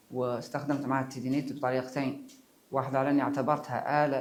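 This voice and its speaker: Audible room echo surrounds a man talking at a fairly quick pace in a medium pitch, with monotone, flat intonation. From Mauritania. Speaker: musician. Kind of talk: interview. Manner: halting.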